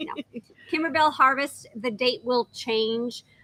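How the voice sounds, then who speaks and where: A woman talks in a normal speaking voice at a moderate pace, with ordinary pitch variation. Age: 60s. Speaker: sewing shop owner, teacher. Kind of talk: casual livestream chat.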